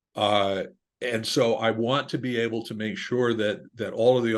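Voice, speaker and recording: Fairly low in pitch, this man has an ordinary speaking voice. His intonation is fairly even. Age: 60s. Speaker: business owner. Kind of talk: interview.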